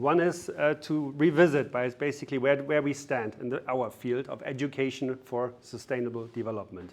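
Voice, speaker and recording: A man talks with hardly any pauses. His pitch is medium, with ordinary variation. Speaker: academic researcher. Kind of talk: lecture. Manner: fast.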